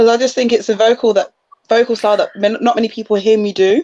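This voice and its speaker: Speaking with a Leicester accent, a woman goes at a fairly quick pace in a fairly high voice with a dark, mellow tone and fairly even intonation. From Leicester, England. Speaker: musical theatre performer. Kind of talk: casual chat.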